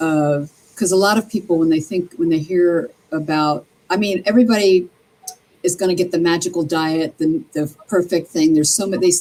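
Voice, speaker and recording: A plain, everyday voice from a woman with an American accent, fairly low in pitch, with ordinary pitch variation and a fairly quick pace. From New Jersey (Atlantic City). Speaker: interview guest. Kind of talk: interview. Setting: live stream.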